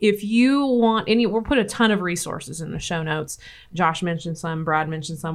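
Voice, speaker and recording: A woman talks fairly quickly in a Midwestern US accent. Her pitch varies in an ordinary way. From Nebraska. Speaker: podcast host, extension educator. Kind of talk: casual interview discussion. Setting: studio, office.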